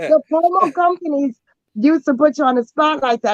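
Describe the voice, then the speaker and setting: A loud woman with a New York accent talks in an animated tone at a fairly quick pace, with ordinary pitch variation and a dry, close sound with no echo. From New York City. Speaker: actress and model. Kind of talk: casual interview.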